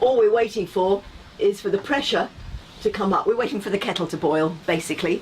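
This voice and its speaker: A woman's medium-pitched voice comes over noticeable background noise. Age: 70s. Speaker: volunteer steam railway firewoman. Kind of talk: casual explanation to camera.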